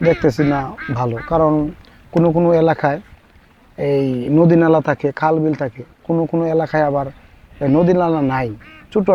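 Noticeable background noise is present. A man speaks at a fairly high pitch with ordinary pitch variation. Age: 30s. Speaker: duck farmer. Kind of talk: interview.

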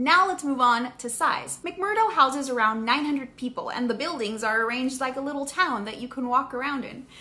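A woman speaks in a raised, projected voice at a moderate pace, with ordinary pitch variation. She hardly pauses at all. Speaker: science educator. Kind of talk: educational vlog explanation. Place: home room.

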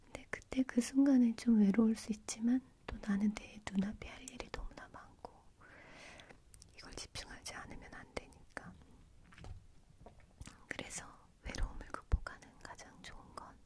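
A woman's whisper at a fairly slow pace, with long, frequent pauses and big swings in loudness. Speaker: ASMR creator. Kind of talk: whispered ASMR chat to camera. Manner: soft, whispering, intimate.

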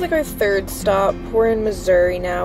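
A woman at a moderate pace, dry sound with no echo, music playing in the background. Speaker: vlogger. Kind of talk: casual vlog chat. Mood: relaxed, slightly wistful. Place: car. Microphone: phone near.

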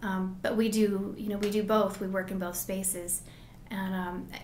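A woman talks at a moderate pace in a monotone, flat intonation. Audible room echo and light background noise are present. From Colorado mountains (Grand Lake); Colorado. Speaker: lawyer and business owner; lawyer. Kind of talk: interview. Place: meeting room.

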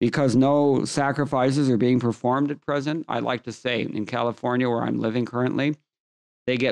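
A man at a fairly quick pace, monotone with flat intonation, against a quiet background. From US West Coast, Los Angeles. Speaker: scripture teacher. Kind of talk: lecture. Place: home room. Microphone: studio mic.

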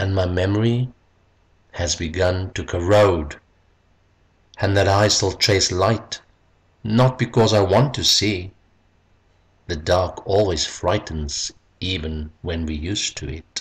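This man's voice is very deep and low, somewhat breathy, with ordinary pitch variation. He talks at a very slow pace with long, frequent pauses. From South Africa. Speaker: poet, retired English teacher. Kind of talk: poetry reading.

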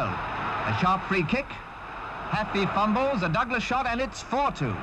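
A man with a British accent speaks in a raised, projected voice, his pitch swinging very widely. Noticeable background noise runs behind him. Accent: British, period newsreel diction. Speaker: newsreel sports commentator. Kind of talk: 1961 newsreel sports commentary, scripted narration. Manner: brisk, crisp and formal, clipped period delivery.

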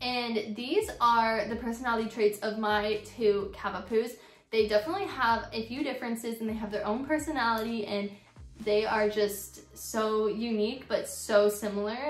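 A woman at a moderate pace, fairly even intonation, audible room echo, and faint music in the background. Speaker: pet vlogger. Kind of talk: casual vlog chat. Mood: warm, cheerful. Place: home room. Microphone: phone near.

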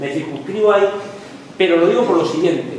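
A man talks in a space with strong room echo. Light background noise can be heard. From Lorca, Murcia, Spain. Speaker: history professor. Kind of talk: lecture. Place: classroom. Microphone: camera far.

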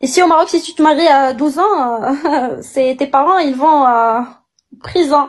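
A woman speaks fairly slowly in a high voice with ordinary pitch variation. The background is quiet. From Morocco, Agadir; Morocco. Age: 20s. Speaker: caller; guest. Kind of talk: casual chat; casual live chat argument. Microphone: phone near.

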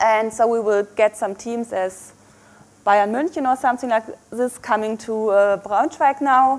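A woman with a German accent speaks at a fairly slow pace in a fairly high voice. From Germany. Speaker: microbiology researcher; guest lecturer. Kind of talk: lecture. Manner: hesitant with fillers. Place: hall.

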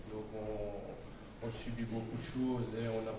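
A man at a medium pitch speaks in a monotone, flat way, with audible room echo and noticeable background noise. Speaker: business owner, election candidate. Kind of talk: public speech. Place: hall. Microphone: handheld.

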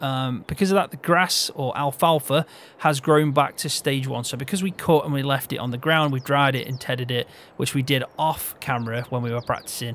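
A man with a Midlands accent speaks at a fairly quick pace and a fairly high pitch, with ordinary pitch variation. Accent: Midlands, often taken for northern English. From English Midlands, Peak District. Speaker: gaming video creator. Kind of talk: casual chat while playing and teaching a game.

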